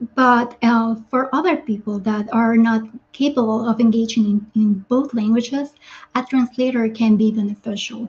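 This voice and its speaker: A woman with a Spanish accent, fairly high pitch, fairly even intonation and a moderate pace. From Guatemala. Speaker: doctor and kidney health coach. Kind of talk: webinar presentation. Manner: halting, with fillers and repetitions.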